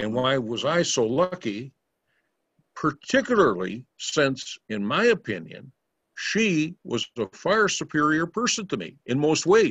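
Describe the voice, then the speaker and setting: Speaking at a fairly slow pace with an American accent, a man with a fairly high voice uses very wide pitch swings and vocal fry. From Minnesota, US Upper Midwest. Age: 70s. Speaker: spiritual teacher telling life stories. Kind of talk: storytelling talk.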